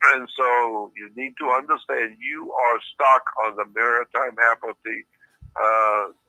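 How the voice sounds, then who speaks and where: Speaking at a very slow pace, a man uses a medium pitch and a monotone, flat intonation. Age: 80s+. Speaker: conspiracy researcher and author. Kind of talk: interview. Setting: phone call.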